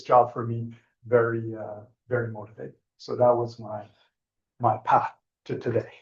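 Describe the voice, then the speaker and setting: A somewhat breathy man with a Quebec accent. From Quebec, Trois-Rivières. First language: French. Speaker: computer science professor. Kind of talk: panel talk.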